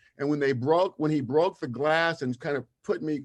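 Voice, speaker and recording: A man's fairly high voice at a fairly quick pace against a quiet background. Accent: American. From US West Coast, Los Angeles (Watts). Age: 60s. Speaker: social justice advocate, camp alumnus. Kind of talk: interview testimony.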